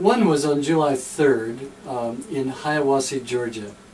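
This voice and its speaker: A man with a Tennessee accent at medium pitch, ordinary pitch variation, and noticeable background noise. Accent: Tennessee Southern US. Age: 60s. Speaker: pastor walking across America. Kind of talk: radio interview. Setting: radio studio.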